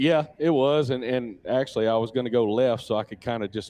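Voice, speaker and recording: A man speaks with a Louisiana accent. His pace is fairly quick. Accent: US Southern (Louisiana). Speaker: off-road racer. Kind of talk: live interview. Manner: relaxed, halting with fillers.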